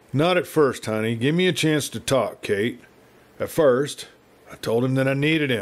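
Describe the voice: What we hear is plain reading aloud.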